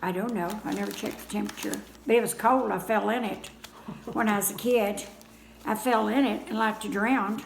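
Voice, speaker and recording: Noticeable background noise surrounds a woman's fairly high voice. She speaks at a fairly quick pace with fairly even intonation. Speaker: grandmother telling stories of rural childhood. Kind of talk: casual reminiscing interview answer.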